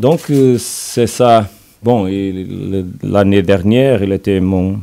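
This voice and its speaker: Speaking at a very slow pace, a man has a Portuguese accent. His fairly low pitch carries a dark, mellow tone. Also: ordinary pitch variation. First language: Portuguese (speaking French). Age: 40s. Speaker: football coach. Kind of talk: press conference. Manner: halting, hesitant.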